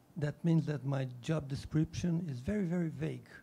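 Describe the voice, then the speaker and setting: The voice has a dark, mellow tone, a fairly quick pace and fairly even intonation. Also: man. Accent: Portuguese. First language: Portuguese. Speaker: diplomat. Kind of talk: panel discussion.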